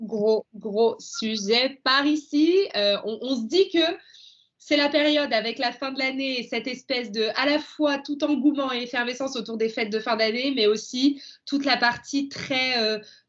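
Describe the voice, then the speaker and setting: Speech unfolds at a fairly slow pace. Pitch varies in an ordinary way. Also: woman, high pitch for a woman. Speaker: podcast host. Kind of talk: podcast interview. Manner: enthusiastic.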